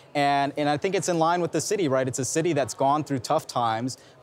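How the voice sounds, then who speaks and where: This man talks at a fairly quick pace in a confident tone, his fairly high pitch moving with ordinary variation. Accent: American. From Newark, New Jersey; New Jersey. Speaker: Rhodes Scholar; interviewee. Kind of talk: interview. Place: hall. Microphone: lapel.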